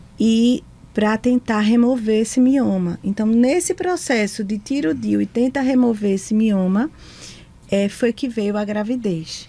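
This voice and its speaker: With an unremarkable speaking voice, a woman talks at a fairly slow pace and a fairly high pitch. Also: ordinary pitch variation. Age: 40s. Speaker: psychologist and school director. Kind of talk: testimony. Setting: studio.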